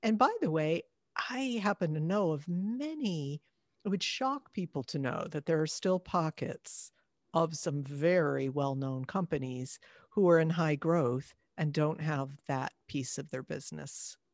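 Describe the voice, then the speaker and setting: A woman with an American accent, very deep and low in pitch, lively intonation, fairly slow pace, dry, close sound with no echo, and a very clean recording with a silent background. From upstate New York, near Canadian border. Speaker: HR executive and founder. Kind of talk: interview.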